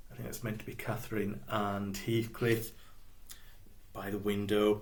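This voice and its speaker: A man with a fairly low voice and a Yorkshire accent talks at a moderate pace, with audible room echo around him. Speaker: biographer and blogger. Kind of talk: literary talk with reading aloud. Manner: casual, with hesitations.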